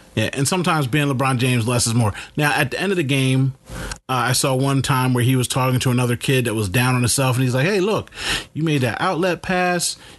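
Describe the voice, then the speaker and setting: Over noticeable background noise, a man talks at a fairly quick pace. His medium pitch shows ordinary variation. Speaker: podcast host, father. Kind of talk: casual chat. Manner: loud.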